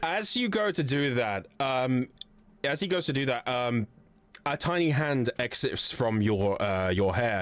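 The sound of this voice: Lively intonation marks this recording. The speaker uses an unforced reading voice.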